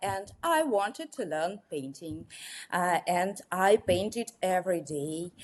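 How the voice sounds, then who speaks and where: In a very clean recording with a silent background, a woman with a Russian accent speaks very slowly with lively intonation. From Russia, Moscow. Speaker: watercolor artist. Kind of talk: interview. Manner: halting, many fillers.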